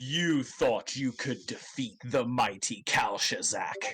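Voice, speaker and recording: A man puts on a character voice at a medium pitch. His pace is fairly slow. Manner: mocking, laughing.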